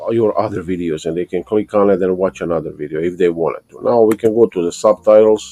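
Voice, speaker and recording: Very fast and with hardly any pauses, a man with a non-native accent speaks in a fairly low, dark, mellow voice with fairly even intonation and big swings in loudness, the sound dry and close with no echo. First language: not English. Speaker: YouTube how-to tutorial maker. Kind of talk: screen-recorded tutorial. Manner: casual, halting with restarts.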